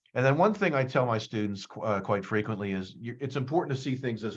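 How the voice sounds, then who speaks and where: A man speaks with an American accent at a medium pitch. The background is quiet. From US Northeast, suburbs of Philadelphia. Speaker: psychology professor. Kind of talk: career talk presentation. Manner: fast; hesitant, many fillers and repetitions.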